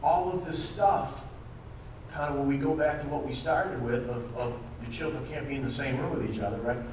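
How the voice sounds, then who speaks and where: Fairly quick and fairly high in pitch, a man speaks. Audible room echo and noticeable background noise fill the recording. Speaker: financial services speaker. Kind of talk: presentation talk. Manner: fast.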